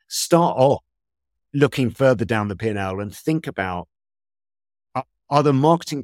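Recorded very cleanly with a silent background and a dry, close sound with no echo, a man with a London accent speaks at a moderate pace with a medium pitch and very wide pitch swings. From West London, England. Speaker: drinks company innovation executive. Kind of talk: interview. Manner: hesitant, many fillers.

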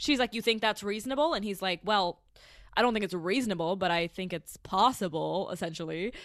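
A woman with a normal speaking voice, medium pitch, ordinary pitch variation and a fairly quick pace, in a very clean recording with a silent background. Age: 20s. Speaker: podcast host. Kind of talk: casual chat.

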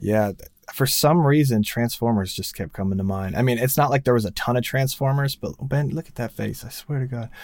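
In an American accent, a man with a medium-pitched voice talks at a fairly quick pace with ordinary pitch variation and big swings in loudness, a normal speaking voice. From New Jersey, US. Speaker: music producer and sound engineer. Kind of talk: casual interview.

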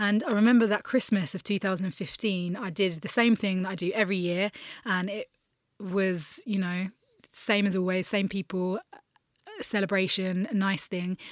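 A woman with a southern English accent, medium in pitch, with fairly even intonation. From England. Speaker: refugee charity founder. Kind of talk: interview. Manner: hesitant, many fillers.

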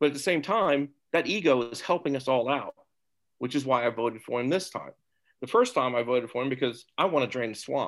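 A plain, everyday voice from a man, medium-pitched, fairly quick, with ordinary pitch variation. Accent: American. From Topeka, Kansas. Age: 60s. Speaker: guest, marine veteran and businessman. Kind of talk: discussion.

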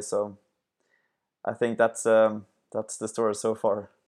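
A fairly low-pitched man, monotone with flat intonation. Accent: Swedish. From Sweden. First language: Swedish. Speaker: sports entrepreneur. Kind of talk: interview. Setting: remote call. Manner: halting.

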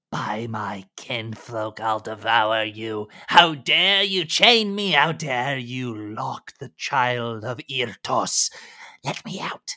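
A man puts on a character voice, speaking at a very slow pace. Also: medium pitch for a man. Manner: furious, cursing, snarling.

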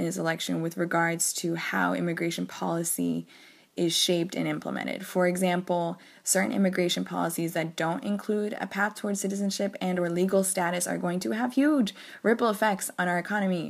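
A woman speaks in an ordinary speaking voice with an American accent, fairly low in pitch and at a fairly quick pace. Her pitch varies in an ordinary way, and the recording is very clean with a silent background. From US South (Georgia, Arkansas, North Carolina). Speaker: education advocate. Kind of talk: recorded voice memo.

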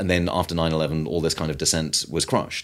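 A man with a British accent talks at a fairly quick pace in a very deep, low pitch. His intonation is fairly even, and the recording is very clean with a silent background. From Britain. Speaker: author and food activist. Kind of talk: interview. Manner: halting, with frequent repetitions.

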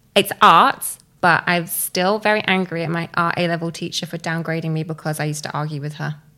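This woman speaks at a fairly low pitch and a moderate pace. Her tone is bright and sharp. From southern England (Bournemouth). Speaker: storytelling business co-founder. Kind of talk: interview.

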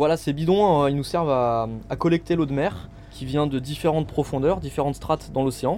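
This man's voice is fairly high in pitch, with a dark, mellow tone. He keeps a moderate pace. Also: ordinary pitch variation. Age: 30s. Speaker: marine biologist. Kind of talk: casual explanation.

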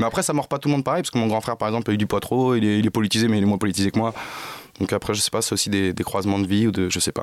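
A man with a fairly low pitch talks at a very fast pace, his loudness very even. The recording is very clean, with a silent background. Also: ordinary pitch variation. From Paris suburbs, France. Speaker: comedian. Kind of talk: casual chat. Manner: halting.

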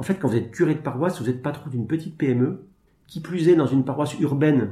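A man talks at a very fast pace in a dark, mellow, somewhat breathy tone. His pitch variation is ordinary. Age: 40s. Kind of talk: interview. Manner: halting.

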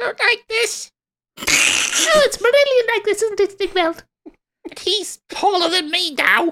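This put-on character voice is squeaky, with an extremely high pitch. It moves at a fairly slow pace. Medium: actual play. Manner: chatty, teasing.

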